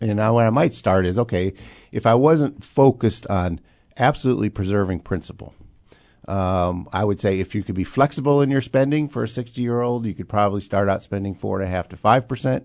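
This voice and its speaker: A man speaks at a fairly quick pace in a plain, everyday voice, fairly low in pitch with ordinary pitch variation, over a quiet background. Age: 60s. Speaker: financial planner and radio host. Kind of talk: radio finance talk show. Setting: radio studio.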